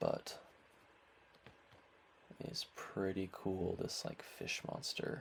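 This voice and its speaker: A man talks in a soft-spoken way. His pace is very slow. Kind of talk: soft-spoken ASMR unboxing.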